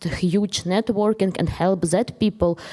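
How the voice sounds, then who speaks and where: A woman speaks at a medium pitch with a dark, mellow tone. Her intonation is monotone and flat, her pace moderate. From eastern Ukraine. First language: Ukrainian or Russian. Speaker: filmmaker. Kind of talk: Q&A discussion. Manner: halting.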